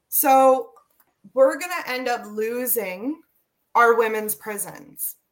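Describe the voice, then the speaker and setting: A woman with a Canadian accent speaks very slowly in a high pitch, with long, frequent pauses and big swings in loudness. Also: ordinary pitch variation. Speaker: prison reform advocate, former inmate. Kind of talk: casual interview.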